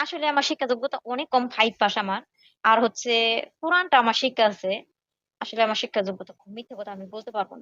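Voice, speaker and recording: This woman has an ordinary speaking voice, fairly high in pitch with ordinary pitch variation and big swings in loudness. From Bangladesh, Tangail district. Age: 20s. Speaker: marriage-seeking caller, fast food worker. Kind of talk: phone conversation.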